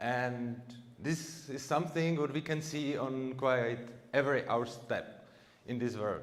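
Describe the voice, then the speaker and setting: A man with an ordinary speaking voice talks at a medium pitch. His pace is fairly slow and his intonation fairly even. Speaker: education freedom activist. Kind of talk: conference talk.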